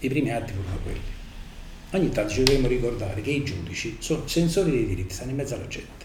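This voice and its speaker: Very fast, lively speech from a man at medium pitch, with audible room echo and noticeable background noise. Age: 70s. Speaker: judge. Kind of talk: lecture.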